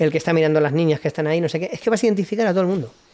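A man speaks with fairly high pitch and ordinary pitch variation. The background is quiet. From Spain. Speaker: military veteran and preparedness instructor; podcast guest. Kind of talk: casual chat. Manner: animated. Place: studio. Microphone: studio mic.

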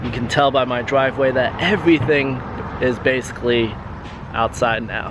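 With clear background noise behind him, a man speaks at medium pitch and a moderate pace with fairly even intonation.

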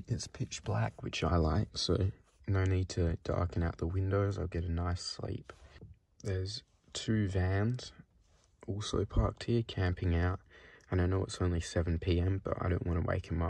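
The man's voice is somewhat breathy and very deep and low-pitched, with ordinary pitch variation. He keeps a moderate pace, and the sound is dry with no echo. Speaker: solo road-trip vlogger. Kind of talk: casual vlog chat. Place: car. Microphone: phone near.

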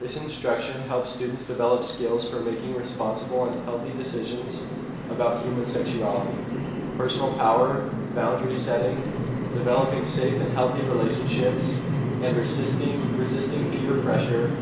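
A man at a moderate pace, with audible room echo and loud background noise. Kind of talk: reading aloud a document. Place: hall.

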